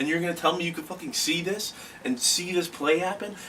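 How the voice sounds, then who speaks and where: A man's fairly high voice at a fairly quick pace amid noticeable background noise. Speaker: comedic sports commentator. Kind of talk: comedic rant. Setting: alone in a room on camera. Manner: loud; animated.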